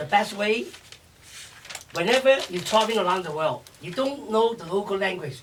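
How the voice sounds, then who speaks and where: With a Chinese accent and a high pitch, a man talks at a fairly quick pace over noticeable background noise. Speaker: chef and restaurateur. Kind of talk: interview. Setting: radio show. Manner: energetic, fast.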